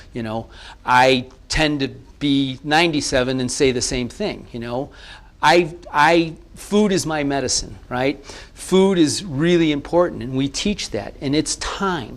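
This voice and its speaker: Lively intonation marks this man's speech. He talks fairly slowly. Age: 60s. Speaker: naprapathy college founder. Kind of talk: TV interview. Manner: halting, many repeated words.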